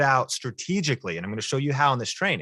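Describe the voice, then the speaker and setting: A man with a General American accent speaks in a bright, sharp tone with vocal fry and lively intonation. The sound is dry and close, with no echo. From US Pacific Northwest, rural Washington. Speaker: YouTube marketing trainer. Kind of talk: presentation. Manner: casual, animated.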